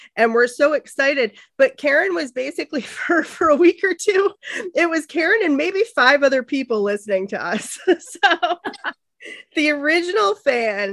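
A woman's high voice with very wide pitch swings at a moderate pace, dry and close with no echo. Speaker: podcast host. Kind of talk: casual chat.

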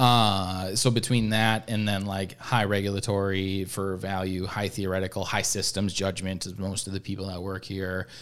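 Speaking at a moderate pace with hardly any pauses, a man holds a fairly low pitch and flat, monotone intonation. The recording is very clean, with a silent background. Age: 20s. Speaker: podcast host at a veterinary practice. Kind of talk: casual interview. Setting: studio.

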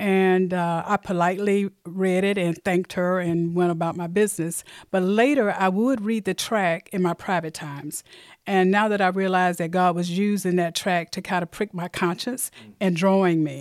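Over a silent background in a very clean recording, a woman with an Alabama accent talks at a moderate pace, with a medium pitch and fairly even intonation. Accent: Southern US (Alabama). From US South, Mobile, Alabama. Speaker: church member. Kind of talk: testimony.

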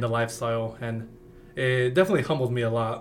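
A man talks at a moderate pace with an American accent, his medium pitch kept in fairly even intonation. Audible room echo and noticeable background noise fill the recording. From Western Colorado. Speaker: university student. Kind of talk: interview.

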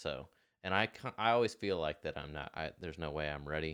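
This man speaks fairly quickly in a very deep, low voice with vocal fry. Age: 20s. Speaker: business owner and former racer. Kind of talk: casual interview. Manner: halting.

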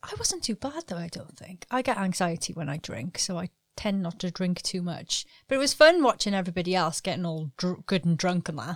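Speaking fairly quickly in a British accent, a woman keeps a medium pitch and lively intonation. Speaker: podcast co-host. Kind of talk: casual chat.

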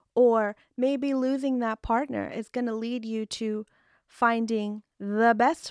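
Against a quiet background, a woman speaks in a normal speaking voice at a fairly high pitch and a fairly slow pace. The sound is dry and close with no echo, and her intonation is fairly even. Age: young. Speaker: esthetician and podcast host. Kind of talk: casual solo talk. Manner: chatty, many fillers.

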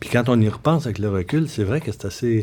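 A man with a Quebec accent talks at a fairly quick pace in a medium pitch, his dark, mellow tone showing ordinary pitch variation. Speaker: comedy writer and novelist. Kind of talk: casual interview.

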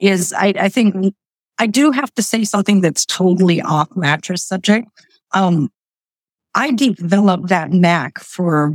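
A woman's fairly low-pitched voice with lively intonation at a fairly slow pace, dry and close with no echo. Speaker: business owner. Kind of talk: interview. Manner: animated.

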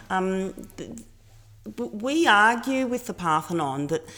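In an Australian accent, a woman speaks at a fairly slow pace with a medium pitch and very wide pitch swings. The recording is very clean, with a silent background. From Australia, Melbourne. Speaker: cultural advocate. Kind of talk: interview.

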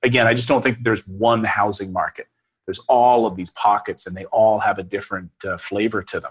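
In a normal speaking voice at a medium pitch, a man talks at a fairly quick pace with ordinary pitch variation and a dry, close sound with no echo. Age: 40s. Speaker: real estate investor and YouTuber. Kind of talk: interview.

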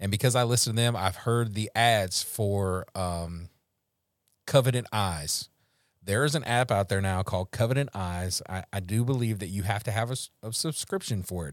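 In a Louisiana accent, a man speaks at a moderate pace in a fairly low pitch with ordinary pitch variation, on a very clean recording with a silent background. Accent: Louisiana Southern US. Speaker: recovery podcast host. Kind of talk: casual faith-based recovery chat. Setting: Facebook Live podcast.

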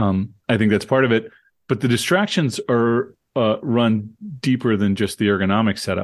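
A man with an ordinary speaking voice talks at a medium pitch and a moderate pace, with very even loudness and ordinary pitch variation, over a quiet background. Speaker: professor. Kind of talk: casual chat.

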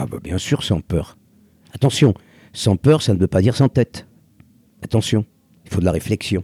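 A man with a fairly low, dark, mellow, somewhat breathy voice speaks at a moderate pace with lively intonation and long, frequent pauses, in a dry, close sound with no echo. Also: very clean recording, silent background. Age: 70s. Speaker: former croupier and restaurateur. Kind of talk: casual conversation. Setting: outdoors on a beach.

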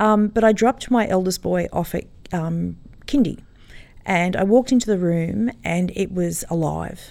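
A woman with an Australian accent, a dark, mellow tone, medium pitch, lively intonation and moderate pace, in a very clean recording with a silent background. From Sydney, Australia (Sutherland Shire). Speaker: kindergarten teacher and camel farmer. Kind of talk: casual interview.

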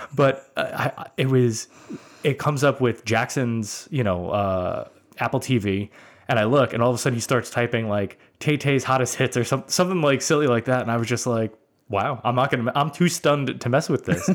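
A man with an American accent speaks at a fairly quick pace and medium pitch, with ordinary pitch variation. He has an unremarkable speaking voice, heard in a very clean recording with a silent background. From US Northeast (Brooklyn, New York). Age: 40s. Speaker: podcast host. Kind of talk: casual chat.

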